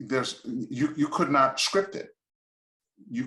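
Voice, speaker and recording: A man's voice with a bright, sharp tone and vocal fry, swinging very widely in pitch at a moderate pace. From Trinidad, then Montreal from age 10. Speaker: singer and minister. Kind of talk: interview storytelling.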